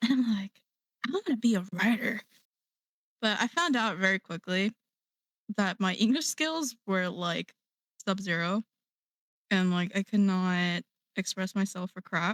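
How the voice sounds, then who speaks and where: A woman speaks at a fairly slow pace with long, frequent pauses and ordinary pitch variation, the sound dry and close with no echo in a very clean recording with a silent background. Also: medium pitch for a woman. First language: Korean. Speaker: digital artist. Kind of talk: casual chat.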